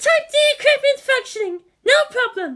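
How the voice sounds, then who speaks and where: In a put-on character voice, the speaker squeaks at an extremely high pitch and a moderate pace. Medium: read story. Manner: reporting numbers, anxious.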